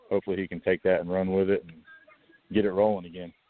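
A man with a Georgia accent talks at a very fast pace. His voice is very deep and low, with fairly even intonation. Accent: US Southern (Georgia). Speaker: college football coach, former college player. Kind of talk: interview.

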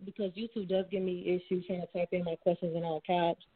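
A woman speaks at a fairly quick pace in a normal speaking voice, her pitch medium. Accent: American. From Florida. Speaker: caller. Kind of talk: call-in question. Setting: phone call.

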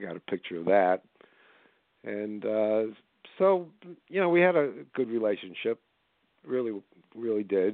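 In a New York-New Jersey accent, a man speaks at a fairly slow pace, fairly low in pitch with big pitch swings.

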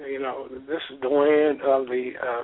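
A man speaks at medium pitch and a moderate pace. His pitch moves very little.

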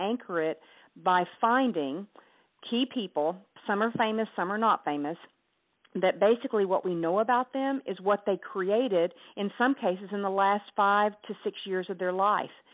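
With a Southern US accent, a woman talks at a medium pitch. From US South, Hot Springs, Arkansas. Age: 50s. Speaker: author and entrepreneur. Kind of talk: interview.

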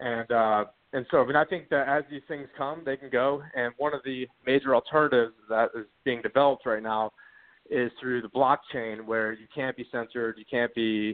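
A man's plain, everyday voice, medium in pitch and moderate in pace, with fairly even intonation but big swings in loudness. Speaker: call-in guest. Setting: phone call.

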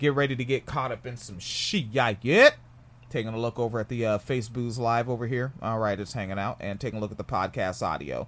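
This is a normal speaking voice from a man at a medium pitch. He talks at a fairly quick pace with ordinary pitch variation. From US, New Jersey. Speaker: podcast host. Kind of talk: casual commentary on a news article. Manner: casual, profane.

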